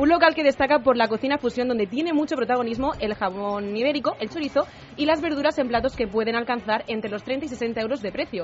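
Her pitch high and its variation ordinary, a woman talks at a very fast pace. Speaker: radio presenter. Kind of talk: news reading.

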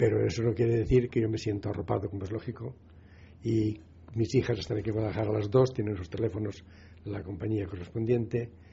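Fairly quick, somewhat breathy speech from a man, fairly low in pitch, with fairly even intonation. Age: 80s+. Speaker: retired doctor, telecare user. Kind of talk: radio interview.

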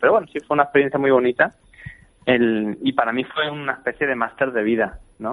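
Fairly even intonation marks this man's speech. He talks at a fairly quick pace. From Spain, Badajoz (Extremadura). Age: 20s. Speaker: opera singer. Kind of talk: interview. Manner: halting.

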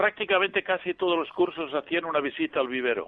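A man speaks with ordinary pitch variation. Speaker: priest and botanist. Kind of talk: casual chat. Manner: hesitant, many fillers.

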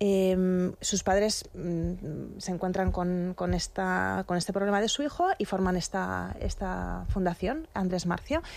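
At a very slow pace, the voice comes through a very clean recording with a silent background. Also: woman. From Madrid, Spain. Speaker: magazine fashion editor. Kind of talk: radio interview. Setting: studio.

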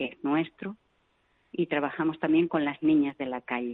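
A woman is speaking. Her pace is moderate. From Basque Country, Vitoria. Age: old. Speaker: missionary nun. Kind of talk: interview.

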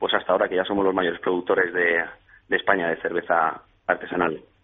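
A man is speaking here. He talks at a very fast pace. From Valencia region, Spain (Xàtiva). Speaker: craft beer entrepreneur. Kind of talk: radio interview. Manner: halting.

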